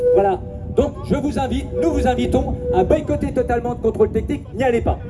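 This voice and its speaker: Music is in the background. Over it, a man talks at a moderate pace. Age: 60s. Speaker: motorcyclist association spokesman. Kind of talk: speech at a rally.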